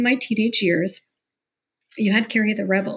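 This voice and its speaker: Somewhat breathy and at a medium pitch, a woman speaks with a Canadian accent. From Canada, Mississauga near Toronto. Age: 40s. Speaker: entrepreneur and podcaster. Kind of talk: interview, personal life story.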